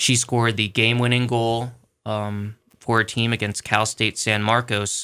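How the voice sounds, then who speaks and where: On a very clean recording with a silent background, a man with an American accent speaks at a medium pitch in a bright, sharp tone with monotone, flat intonation. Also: moderate pace. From Philadelphia area. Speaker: sports editor. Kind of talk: radio interview.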